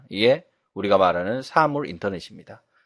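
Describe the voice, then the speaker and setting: A man talks at a fairly quick pace. Behind him the background is quiet. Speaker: instructor. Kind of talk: lecture.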